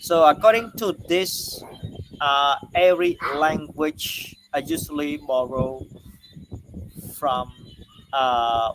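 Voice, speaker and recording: Speaking at a very slow pace with long, frequent pauses, a man with a fairly high pitch and ordinary pitch variation is heard over noticeable background noise. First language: Khmer. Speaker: university lecturer. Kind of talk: lecture. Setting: online class recording. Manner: halting, many fillers and repetitions.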